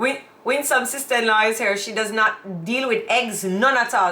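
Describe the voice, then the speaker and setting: A woman with a Jamaican accent, moderate pace and ordinary pitch variation, over noticeable background noise. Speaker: YouTube co-host. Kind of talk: casual chat. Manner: loud.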